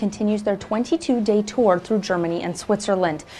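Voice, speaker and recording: Over noticeable background noise, a woman of medium pitch talks at a fairly quick pace with ordinary pitch variation. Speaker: TV news reporter. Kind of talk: news reporter stand-up / package narration.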